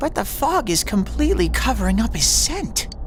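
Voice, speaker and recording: Someone does a put-on character voice at a moderate pace, with clear background noise behind it. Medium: machinima. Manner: bubbly, playful.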